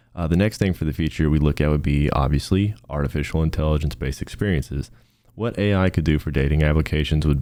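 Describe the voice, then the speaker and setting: A man's very deep, low voice at a very fast pace. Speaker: student presenter. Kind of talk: class project presentation. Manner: monotone.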